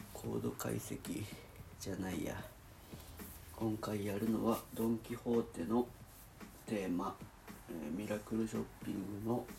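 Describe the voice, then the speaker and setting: A man's voice with vocal fry, fairly even intonation and long, frequent pauses. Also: fairly low pitch for a man, fairly slow pace. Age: 30s. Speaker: video diary vlogger. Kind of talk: casual solo vlog, music chord analysis. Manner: halting, thinking aloud.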